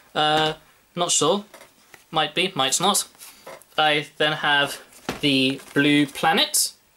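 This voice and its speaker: Noticeable background noise runs under the voice. A woman speaks very slowly at a very deep, low pitch. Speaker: vlogger. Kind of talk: casual vlog, shelf tour. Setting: bedroom at home.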